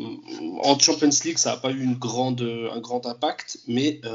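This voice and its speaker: A man is speaking here. He talks at a fairly slow pace. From France. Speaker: football fan commentator. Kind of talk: casual chat.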